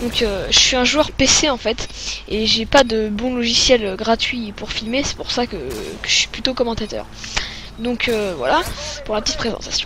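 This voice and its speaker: A woman speaks at a moderate pace with a fairly high pitch and ordinary pitch variation. Noticeable background noise is present. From France. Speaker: gaming commentator. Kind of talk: gameplay commentary. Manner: hesitant, many fillers.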